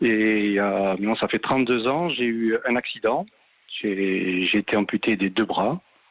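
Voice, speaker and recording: At a very slow pace, a man talks with a fairly low pitch, ordinary pitch variation and very even loudness. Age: 60s. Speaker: caller, former police officer and double amputee. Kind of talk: personal testimony on radio. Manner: halting, many repetitions and hesitations.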